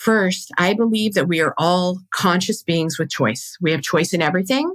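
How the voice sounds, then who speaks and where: A woman with a fairly low pitch is heard in a dry, close sound with no echo. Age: 50s. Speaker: podcast host, birth educator and doula. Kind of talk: casual monologue. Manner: fast; stumbles over words.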